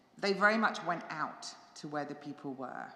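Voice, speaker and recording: A woman speaks with an English accent at a moderate pace. Her tone is bright and sharp, with audible echo from the room. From England. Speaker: pastor. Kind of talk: church forum talk. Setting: church with live audience and stream. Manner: conversational, halting.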